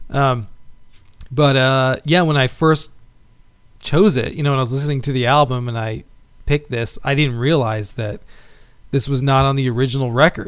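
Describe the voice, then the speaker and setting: With an American accent, a man speaks at a moderate pace and medium pitch, keeping his intonation fairly even and leaving long, frequent pauses. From Texas, Houston. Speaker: podcast host. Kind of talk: casual chat.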